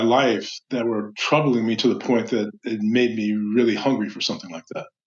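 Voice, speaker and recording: A man with a medium pitch and a plain, everyday voice talks at a moderate pace. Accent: American. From US Midwest, Chicago. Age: 60s. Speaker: meditation instructor and life coach. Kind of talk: podcast interview.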